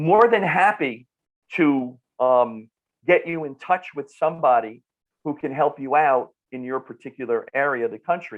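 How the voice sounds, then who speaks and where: A man talks in an animated tone with a North Jersey accent, his pitch fairly high. He keeps a moderate pace, and his loudness swings widely. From northern New Jersey. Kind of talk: podcast interview. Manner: animated, repetitive restarts.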